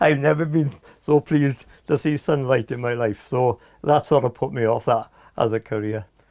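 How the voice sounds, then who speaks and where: Over a quiet background, a man with a Welsh Valleys accent speaks at a moderate pace, the sound dry and close with no echo. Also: medium pitch for a man, ordinary pitch variation. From South Wales, Aberdare mining valley. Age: 60s. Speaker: former computer company employee. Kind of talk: oral history interview. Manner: hesitant, many fillers.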